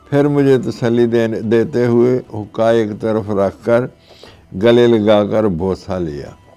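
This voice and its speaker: A man talks over music in the background, his medium-pitched voice showing ordinary pitch variation. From Pakistan, Sialkot district, Punjab. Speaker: memoir author. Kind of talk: reading aloud.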